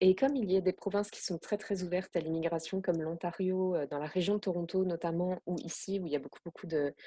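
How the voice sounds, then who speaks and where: A woman speaks at a very fast clip with a dark, mellow tone and fairly low pitch. Her loudness swings widely, her pitch varies in an ordinary way, and the sound is dry and close with no echo. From France, Alsace. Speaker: expatriate interviewee. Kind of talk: podcast interview. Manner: hesitant, many fillers.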